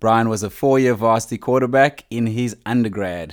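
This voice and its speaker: A normal speaking voice talks at a moderate speed, its pitch varying in an ordinary way. The audio is very clean and the background silent. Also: man. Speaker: podcast host. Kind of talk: casual podcast chat.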